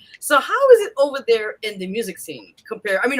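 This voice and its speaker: The tone is animated, delivered with a New York accent. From US East Coast, New York. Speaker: radio host. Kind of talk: interview.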